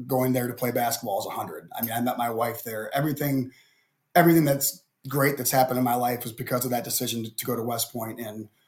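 Here a man with an American accent talks at a very fast pace, his voice somewhat breathy. His pitch is medium and his intonation fairly even. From Cleveland, Ohio. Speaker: basketball coach and army veteran. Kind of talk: podcast interview. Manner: halting, repeats words.

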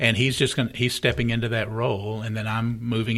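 A man's medium-pitched voice, an ordinary speaking voice, at a fairly quick pace, on a very clean recording with a silent background. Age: 60s. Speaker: pastor. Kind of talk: casual interview chat. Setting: studio.

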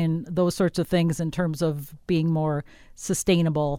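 In an ordinary speaking voice, a woman with an American accent talks at a moderate pace with ordinary pitch variation on a very clean recording with a silent background. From Wisconsin. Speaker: radio host. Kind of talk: radio interview.

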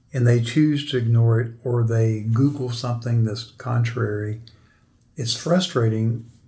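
A man speaks at a medium pitch with a somewhat breathy quality. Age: 60s. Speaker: financial planner and podcast host. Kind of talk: interview.

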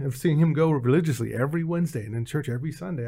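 A man with a fairly high pitch, somewhat breathy, lively intonation and a very fast pace. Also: very clean recording, silent background. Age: 50s. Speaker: behavioral strategist and former tech recruiter. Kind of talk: testimony.

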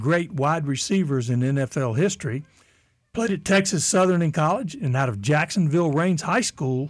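A man's fairly high voice with lively intonation at a moderate pace, a normal speaking voice on a very clean recording with a silent background. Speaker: radio host. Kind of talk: radio host patter. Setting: radio studio.

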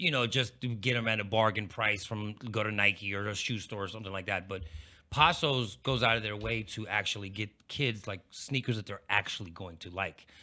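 Heard on a very clean recording with a silent background, the voice has an American accent and a bright, sharp tone. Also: man, fairly low pitch for a man, ordinary pitch variation, moderate pace. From Pittsburgh, Pennsylvania. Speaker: radio and TV host.

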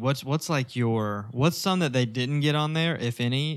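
In a very clean recording with a silent background, a man with an American accent uses a normal speaking voice with ordinary pitch variation. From US South, northwest Arkansas. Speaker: podcast co-host. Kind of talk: casual chat.

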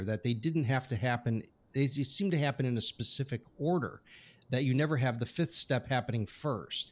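In a very clean recording with a silent background, a man uses a normal speaking voice at a medium pitch with ordinary pitch variation. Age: 50s. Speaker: podcast host and scientist. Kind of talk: interview.

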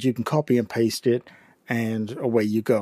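The sound is dry and close with no echo. A man with an English accent speaks at a medium pitch. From England. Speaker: podcast host, tech tutor. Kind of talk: tutorial. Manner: informal, instructional.

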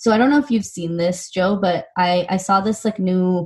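A woman with an American accent speaks at medium pitch and a moderate pace, her intonation fairly even. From US West Coast (Silicon Valley, California). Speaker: nonprofit founder and CEO. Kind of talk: interview.

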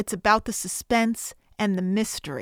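A woman's ordinary speaking voice, fairly high-pitched, with an American accent, at a fairly slow pace, in a dry, close sound with no echo. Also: very clean recording, silent background. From Connecticut, US. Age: 30s. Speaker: podcast host, film reviewer. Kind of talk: solo podcast, film review and plot retelling.

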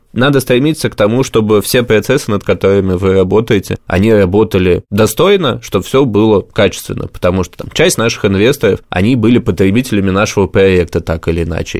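A man with a normal speaking voice talks in a fairly low pitch with ordinary pitch variation. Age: 20s. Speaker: entrepreneur. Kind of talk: interview.

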